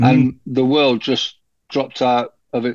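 A man with a British accent, medium pitch, fairly slow and monotone with flat intonation. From UK, moved around many cities. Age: 60s. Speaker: cancer support group founder. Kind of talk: interview conversation.

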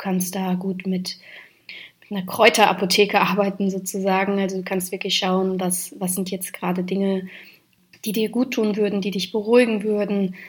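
A woman's medium-pitched, somewhat breathy voice at a moderate pace, with monotone, flat intonation. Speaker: podcast host on mindfulness and moon cycles. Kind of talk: solo podcast monologue.

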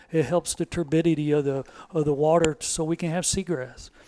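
On a very clean recording with a silent background, a man with a Texas accent speaks at a fairly high pitch. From Texas, Devine. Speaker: retired game warden. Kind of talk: podcast interview.

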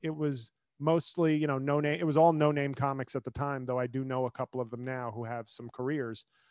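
This is a normal speaking voice at a fairly quick pace with fairly even intonation. The sound is dry and close, with no echo. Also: man, medium pitch for a man. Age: 40s. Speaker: comedian and attorney. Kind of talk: casual interview chat.

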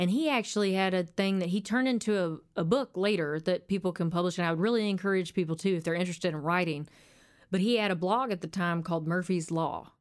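A woman with an Arkansas accent at a very fast pace, very even in loudness, on a very clean recording with a silent background. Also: medium pitch for a woman, ordinary pitch variation. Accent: Southern US (Arkansas). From Arkansas, US. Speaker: country singer-songwriter. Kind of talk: casual interview chat. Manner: halting at times when nervous.

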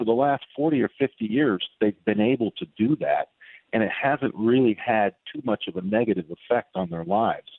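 A man's plain, everyday voice, fairly low in pitch, with ordinary pitch variation and a moderate pace. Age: 60s. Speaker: author and political commentator. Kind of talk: radio interview.

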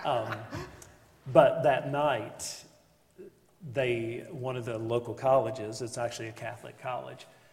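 A somewhat breathy man's voice at medium pitch, fairly slow and fairly even in intonation, with long, frequent pauses, big swings in loudness and audible room echo. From West Virginia, Beckley. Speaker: pastor. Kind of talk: interview before a live group.

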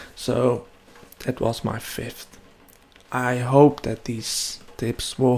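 Noticeable background noise sits under a man talking very slowly. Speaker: web development podcaster. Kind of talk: solo podcast monologue. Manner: hesitant, many fillers.

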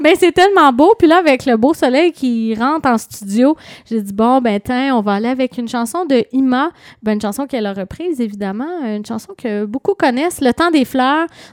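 A woman with a Quebec accent speaks at a high pitch with lively intonation. The sound is dry and close, with no echo. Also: moderate pace. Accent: Québécois French. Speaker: radio host. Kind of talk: radio interview. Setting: studio.

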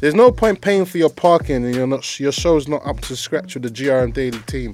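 With music in the background, a man speaks fairly quickly in an energetic tone, his fairly high pitch carried by lively intonation. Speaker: radio host. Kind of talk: radio DJ patter, casual promo-style chat with show plugs and track intros. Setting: live radio show, studio. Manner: energetic, slangy, fast hype-man delivery.

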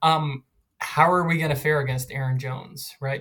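A man speaks with an American accent at a fairly quick pace. His voice is somewhat breathy and fairly high in pitch. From Philadelphia. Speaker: football fan. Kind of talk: casual chat.

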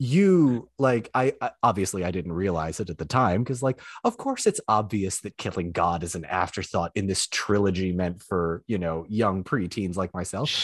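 A man speaks in a plain, everyday voice, fairly low in pitch with ordinary pitch variation. He keeps a moderate pace with hardly any pauses, in a dry, close sound with no echo and a quiet background. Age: 20s. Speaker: former journalist and online creator. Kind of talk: casual chat.

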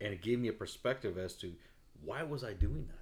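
Fairly low in pitch and somewhat breathy, a man speaks with lively intonation. His pace is fairly quick. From Mexican heritage. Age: 40s. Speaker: podcast host. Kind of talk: casual chat.

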